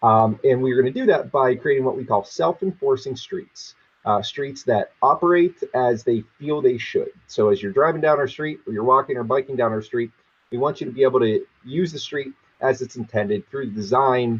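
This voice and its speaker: This man speaks at a medium pitch with ordinary pitch variation and a somewhat breathy quality. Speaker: city traffic engineer. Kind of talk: public presentation. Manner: fast; halting, many fillers.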